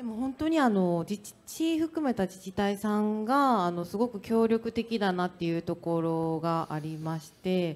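Her pitch swinging very widely, a woman speaks at a fairly slow pace. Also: hardly any pauses. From Osaka, Japan. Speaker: company founder and CEO; panelist. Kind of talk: panel discussion at a conference; panel discussion answer. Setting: stage with audience. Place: hall. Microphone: handheld.

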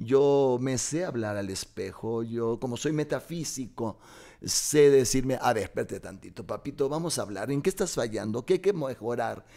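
A man's tone is dark and mellow, heard against a quiet background. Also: lively intonation, moderate pace. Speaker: guest, stage actor. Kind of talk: casual interview. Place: studio. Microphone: studio mic.

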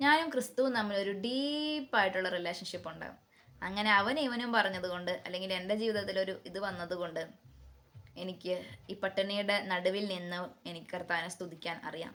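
Her loudness swings widely while a woman speaks at a medium pitch with ordinary pitch variation. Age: 30s. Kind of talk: religious talk.

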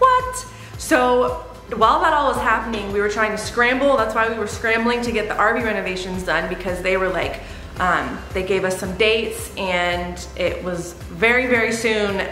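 Faint music plays in the background amid audible room echo. A woman speaks at a moderate pace with ordinary pitch variation. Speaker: vlogger. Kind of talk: casual vlog chat. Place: home room. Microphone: camera far.

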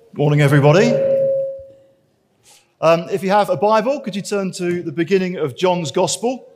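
Speaking at a moderate pace with long, frequent pauses, a man uses a high pitch with ordinary pitch variation. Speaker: preacher. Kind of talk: sermon. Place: church. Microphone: headset.

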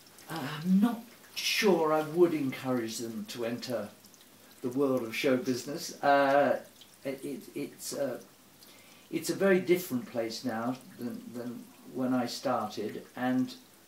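A man talks at a fairly slow pace with long, frequent pauses, with audible room echo and light background noise. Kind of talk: interview answer. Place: home room. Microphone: camera far.

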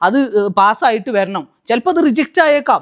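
With no echo, the sound stays dry and close, and the recording is very clean with a silent background. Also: man. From Malappuram, Kerala. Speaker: vlogger and visa services officer. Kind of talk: casual vlog. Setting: outdoors in a park.

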